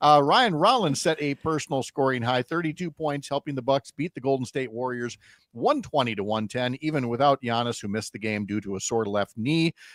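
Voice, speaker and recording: A man's medium-pitched voice at a fairly quick pace, with ordinary pitch variation and a dry, close sound with no echo. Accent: Upper Midwest. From Wisconsin. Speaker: radio host. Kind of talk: radio talk show; sports news reading.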